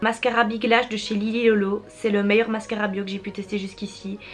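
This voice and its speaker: Against noticeable background noise, a woman talks at a moderate pace in a fairly high pitch. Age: 20s. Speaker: beauty youtuber. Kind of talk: casual chat.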